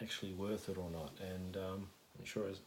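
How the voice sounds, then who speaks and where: A man speaks with an Australian accent at a fairly slow pace. His pitch is fairly low. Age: 30s. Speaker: ASMR youtuber, vinyl collector. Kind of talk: casual ramble. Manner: halting, many fillers.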